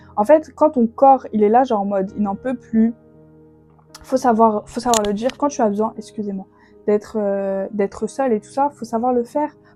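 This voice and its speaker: Over music in the background, a woman speaks with big swings in loudness and ordinary pitch variation. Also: fairly high pitch for a woman, moderate pace. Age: 20s. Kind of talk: faith podcast monologue. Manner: casual, hesitant with fillers.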